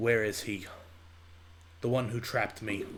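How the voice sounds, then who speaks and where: A man does a put-on character voice at medium pitch, flat and monotone, at a moderate pace. Background noise is clearly audible. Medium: actual play. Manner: urgent, grave.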